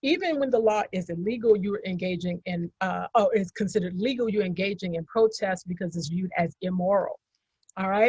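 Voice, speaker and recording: A woman speaks at a medium pitch and a fairly quick pace, with ordinary pitch variation. Her voice is somewhat breathy, and the sound is dry and close with no echo. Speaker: historian panelist. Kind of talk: lecture-style slide presentation.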